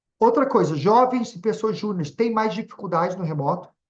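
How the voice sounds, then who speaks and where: A high-pitched man at a moderate pace. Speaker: webinar speaker on leadership. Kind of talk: webinar presentation. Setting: online webinar.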